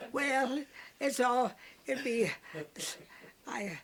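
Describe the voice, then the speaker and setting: In a Texas Panhandle accent, a woman speaks at a very slow pace with lively intonation. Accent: Texas Panhandle rural. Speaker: elderly woman telling memories. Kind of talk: oral history interview. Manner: halting.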